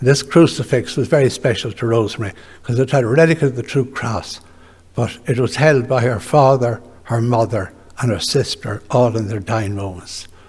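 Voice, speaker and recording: A man speaks in an Irish accent at a moderate pace. His medium-pitched voice is somewhat breathy, with ordinary pitch variation. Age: 80s+. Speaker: retired orthopaedic surgeon. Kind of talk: memorial lecture.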